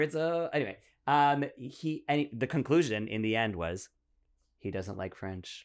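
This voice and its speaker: In a very clean recording with a silent background, an ordinary speaking voice with a Canadian accent moves at a moderate pace with lively intonation. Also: man. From Ottawa, Canada. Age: 40s. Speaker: comedian. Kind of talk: casual chat.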